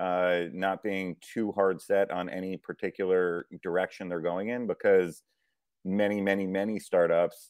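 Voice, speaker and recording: With an American accent, a man speaks at a moderate pace in a very deep, low pitch. The sound is dry and close, with no echo. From US South, Fort Myers, Florida. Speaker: venture capital investor. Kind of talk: interview conversation.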